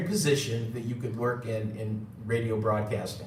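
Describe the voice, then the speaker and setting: Speaking with an American accent, a man keeps a moderate speed amid audible room echo and noticeable background noise. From New York. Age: 60s. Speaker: gold seller and former radio engineer. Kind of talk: live stream talk. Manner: halting, many fillers.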